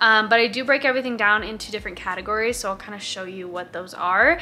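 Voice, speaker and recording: A woman talks at a very fast pace with ordinary pitch variation. Her loudness swings widely. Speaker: cruise ship dancer vlogger. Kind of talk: casual vlog chat. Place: home room. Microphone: camera far.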